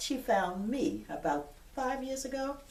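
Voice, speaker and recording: Audible room echo follows a woman who talks at a fairly slow pace. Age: 70s. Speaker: retired police detective. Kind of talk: interview testimony. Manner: halting, with frequent fillers.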